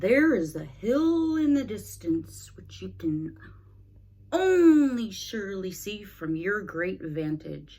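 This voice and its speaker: Putting on a character voice, a woman speaks at medium pitch. Her pace is fairly slow. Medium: read story. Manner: earnest, polite.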